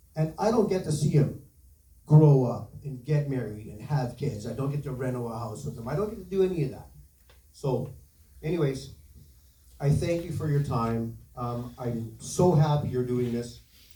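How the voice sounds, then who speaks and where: A man with a Canadian accent speaks at a medium pitch and moderate pace, with ordinary pitch variation. His loudness swings widely, and the room echo is audible. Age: 60s. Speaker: bereaved parent speaking at town hall. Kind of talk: public testimony.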